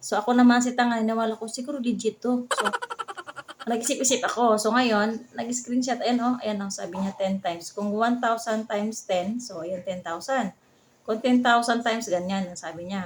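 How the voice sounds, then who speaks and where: This woman has an unremarkable speaking voice, fairly high in pitch, with ordinary pitch variation at a moderate pace. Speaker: vlogger. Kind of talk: casual vlog narration.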